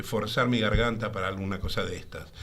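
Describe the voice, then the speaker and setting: A man with a Rioplatense accent, audible room echo around him. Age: 70s. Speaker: voice artist and singer. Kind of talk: interview.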